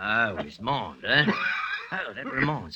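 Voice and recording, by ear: A man takes on a put-on character voice at a fairly low pitch with big pitch swings. His tone is bright and sharp, and his pace is fairly slow.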